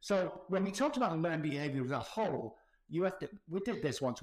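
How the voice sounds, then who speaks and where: A man at a fairly quick pace, animated in tone and lively in intonation. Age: 60s. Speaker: addiction recovery expert. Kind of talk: interview. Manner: loud.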